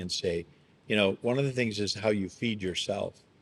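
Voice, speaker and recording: A man speaks in a plain, everyday voice, pitched fairly low. His intonation stays fairly even. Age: 60s. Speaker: pastor. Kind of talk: podcast conversation.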